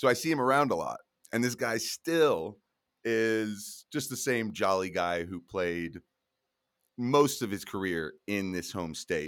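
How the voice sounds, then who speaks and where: On a very clean recording with a silent background, a man with a plain, everyday voice and an American accent speaks at a fairly low pitch and a fairly slow pace with lively intonation. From Colorado, US. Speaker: youth football coach and podcaster. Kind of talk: casual chat.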